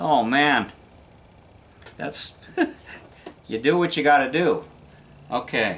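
Long, frequent pauses break up this man's very slow speech. His fairly high pitch shows ordinary variation. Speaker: VW mechanic and car video maker. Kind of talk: workshop tutorial. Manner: animated.

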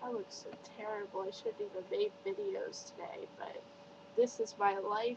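Loudness swings widely throughout, with noticeable background noise behind the voice. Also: woman, moderate pace. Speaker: vlogger. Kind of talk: casual vlog chat. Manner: weary, ill, low-energy voice. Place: home room. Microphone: webcam.

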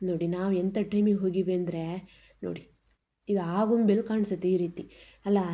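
A woman's dark, mellow voice with a Malnad accent, flat and monotone in intonation. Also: medium pitch for a woman. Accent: Malnad Kannada dialect. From Malnad region, Karnataka. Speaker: vlogger. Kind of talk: travel vlog. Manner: casual, chatty.

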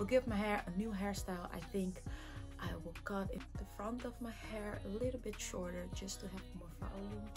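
There is clear music in the background. A woman talks at a moderate pace. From Curaçao, Caribbean. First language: Papiamento. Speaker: hair vlogger. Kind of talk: casual talk to camera. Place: home room. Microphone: phone near.

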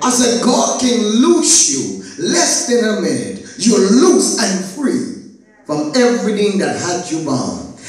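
Amid strong room echo, a man with an extremely high pitch and very wide pitch swings speaks at a very slow pace with hardly any pauses. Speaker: pastor. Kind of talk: sermon / Bible teaching to a congregation. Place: church. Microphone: camera far.

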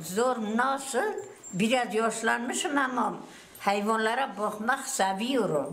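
A woman at a fairly high pitch with ordinary pitch variation, speaking at a very slow pace amid noticeable background noise. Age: 70s. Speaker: livestock farmer. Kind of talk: interview answer. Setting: outdoors.

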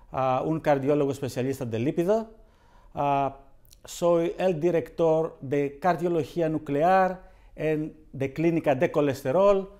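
A fairly high-pitched man with a Greek accent and a dark, mellow tone, very slow in pace with ordinary pitch variation, before a quiet background. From Greece. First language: Greek (speaking Spanish). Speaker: cardiologist. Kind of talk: educational interview. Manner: halting. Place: studio. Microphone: lapel.

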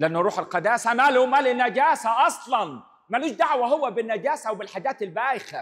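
Over a quiet background, a man with an extremely high pitch talks at a fairly quick pace with lively intonation and hardly any pauses. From Egypt. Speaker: priest. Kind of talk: sermon. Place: church. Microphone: handheld.

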